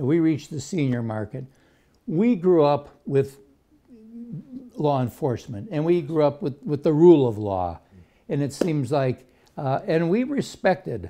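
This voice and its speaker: With a dark, mellow tone and a fairly high pitch, a man talks at a fairly slow pace with lively intonation and long, frequent pauses. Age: 70s. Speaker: talk show host. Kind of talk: interview.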